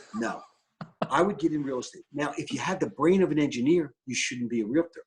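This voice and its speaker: A man with a Philadelphia accent, fairly high pitch, animated tone, lively intonation and a fairly quick pace. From Philadelphia, US. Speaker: real estate broker and team lead. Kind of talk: interview.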